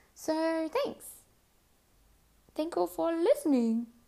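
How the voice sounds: The voice moves at a slow pace with a dark, mellow tone and vocal fry. Its pitch swings widely. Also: woman, extremely high pitch for a woman.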